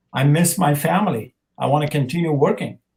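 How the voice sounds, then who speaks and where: A man with an Afghan accent and ordinary pitch variation. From Afghanistan. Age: 50s. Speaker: actor. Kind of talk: interview. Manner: halting.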